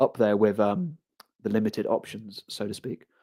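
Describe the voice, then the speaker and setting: A man speaks with a London accent at a fairly low pitch. His tone is dark and mellow, with ordinary pitch variation. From England, London (Harrow). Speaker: livestreamer. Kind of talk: casual live stream chat.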